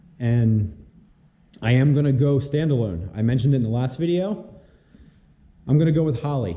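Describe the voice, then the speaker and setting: Audible room echo follows a man whose pitch varies in an ordinary way. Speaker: car builder and YouTuber. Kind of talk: casual vlog update. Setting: home garage.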